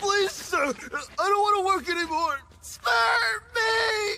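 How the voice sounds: In a cartoonish character voice, a man shouts at an extremely high pitch with a bright, sharp tone, vocal fry, ordinary pitch variation and a slow pace.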